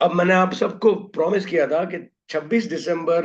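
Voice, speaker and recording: This man's voice is high in pitch. His pitch variation is ordinary. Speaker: trading educator. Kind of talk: webinar lecture. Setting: online webinar broadcast.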